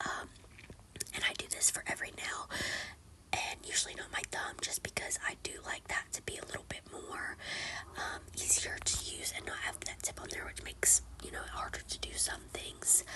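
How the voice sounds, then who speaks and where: A woman whispers over noticeable background noise. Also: moderate pace. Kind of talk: casual nail tutorial talk to camera. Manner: whispered.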